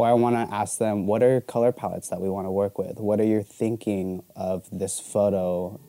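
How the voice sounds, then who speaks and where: With an American accent and a dark, mellow tone, a man with a fairly low pitch talks at a moderate pace with hardly any pauses in a dry, close sound with no echo. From Arizona. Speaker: photographer. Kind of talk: casual chat.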